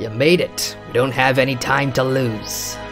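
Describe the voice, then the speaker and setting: Someone uses a put-on character voice at a moderate pace. Music plays clearly in the background. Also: man. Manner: urgent.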